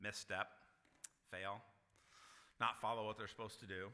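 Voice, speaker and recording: A man speaks loudly in a bright, sharp tone. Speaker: Sunday school teacher. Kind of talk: Bible class teaching. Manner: casual, conversational.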